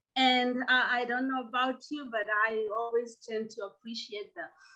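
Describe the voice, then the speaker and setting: A woman's high, bright and sharp voice, raised and projected, in a Kenyan accent. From Kenya, coast. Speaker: professor. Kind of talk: lecture. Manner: many filler uh's.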